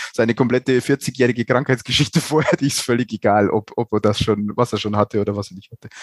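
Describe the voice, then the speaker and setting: A man races along at a very fast pace with hardly any pauses, fairly even intonation and big swings in loudness, in a dry, close sound with no echo. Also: medium pitch for a man. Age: 40s. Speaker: nursing research lead at a university hospital. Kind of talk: casual expert discussion.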